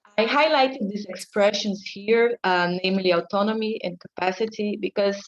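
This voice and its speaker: A woman speaks at medium pitch and a moderate pace with fairly even intonation. The sound is dry and close, with no echo. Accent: non-native. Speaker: academic researcher. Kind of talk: conference talk.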